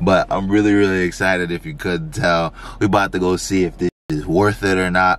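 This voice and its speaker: A man speaks with a very deep, low pitch. The sound is dry, with no echo. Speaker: vlogger. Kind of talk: casual vlog chat. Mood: grateful, sentimental. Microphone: phone near.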